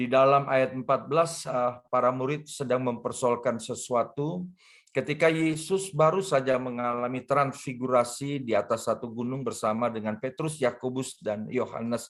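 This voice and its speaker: A man speaks at medium pitch and a moderate pace, with ordinary pitch variation. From Jakarta, Indonesia. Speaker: pastor. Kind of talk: sermon. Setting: video call. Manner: hesitant, with fillers.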